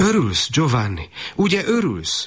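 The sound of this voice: A man's put-on character voice, fairly high and fairly bright with a slightly husky edge and very wide pitch swings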